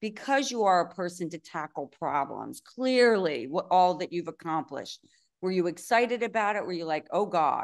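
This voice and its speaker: A woman with an unremarkable speaking voice talks at a moderate pace in a fairly low pitch, her intonation lively against a quiet background. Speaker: podcast host. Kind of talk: interview conversation.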